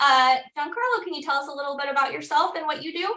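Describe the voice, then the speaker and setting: A woman with a Midwestern US accent uses a raised, projected voice with a high pitch and a bright, sharp tone. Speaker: webinar host, customer success executive. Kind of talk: webinar moderation. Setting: online webinar.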